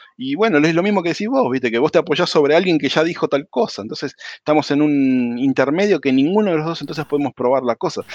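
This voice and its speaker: The speech comes at a very fast pace with hardly any pauses and ordinary pitch variation, sounding dry and close with no echo over a quiet background. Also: man, fairly high pitch for a man. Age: 40s. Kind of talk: casual chat.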